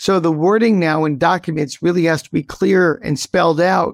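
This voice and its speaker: In an American accent, a man speaks with a high pitch and ordinary pitch variation at a moderate pace. The recording is very clean, with a silent background. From upstate New York. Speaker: tech company CEO. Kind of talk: interview.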